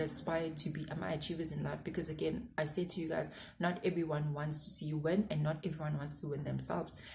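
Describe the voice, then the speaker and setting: A woman with a very deep, low pitch and a dark, mellow tone speaks at a fairly quick pace with vocal fry and fairly even intonation, in audible room echo. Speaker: YouTuber giving career advice. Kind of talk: casual advice vlog.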